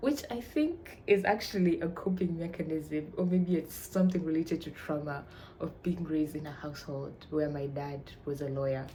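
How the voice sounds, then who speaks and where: A woman with a Tanzanian accent speaks at a moderate pace with ordinary pitch variation. Her fairly low, somewhat breathy voice has a dark, mellow tone. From Tanzania, Arusha. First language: Swahili. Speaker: vlogger, university student. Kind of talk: casual chat.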